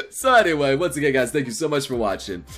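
A man speaks with very wide pitch swings. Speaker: reaction video host. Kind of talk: casual vlog chat. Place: home room.

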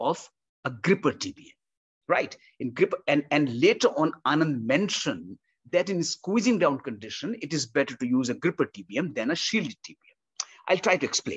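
With vocal fry and very wide pitch swings, a man speaks at a moderate pace, his loudness rising and falling sharply against a quiet background. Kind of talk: technical explanation. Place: home room. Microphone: webcam.

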